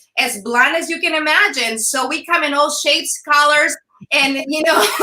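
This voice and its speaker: A woman speaks in a raised, projected voice with a bright, sharp tone and ordinary pitch variation. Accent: Mexican. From Sonora, Mexico. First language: Spanish. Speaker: former news anchor, entrepreneur. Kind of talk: interview. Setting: live video stream.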